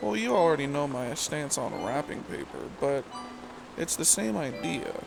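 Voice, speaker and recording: Over music in the background, a soft-spoken man talks at a fairly high pitch. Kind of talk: casual rambling bedtime talk.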